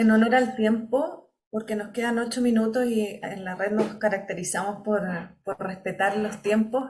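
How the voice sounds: Audible room echo surrounds a woman speaking at a moderate pace with a slightly mellow tone and little pitch movement. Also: medium pitch for a woman.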